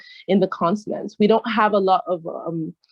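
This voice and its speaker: A woman with an American accent speaks at a medium pitch. Her intonation is fairly even and her pace is moderate. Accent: full American. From United States. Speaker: trade negotiations expert. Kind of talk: interview.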